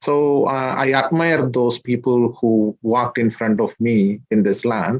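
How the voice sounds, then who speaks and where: Fairly slow delivery from a man, medium in pitch, with ordinary variation in pitch. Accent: Malayali. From India, Kerala (Idukki district). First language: Malayalam. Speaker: social worker, immigrant community figure. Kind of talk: interview. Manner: halting, many fillers.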